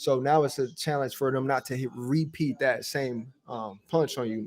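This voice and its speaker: A soft-spoken man talks at a medium pitch. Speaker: boxer and streamer. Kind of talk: casual livestream chat.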